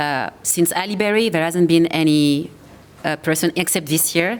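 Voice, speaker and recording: Her voice fairly low, a woman speaks in a French accent. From France. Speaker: actor and producer. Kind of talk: panel discussion.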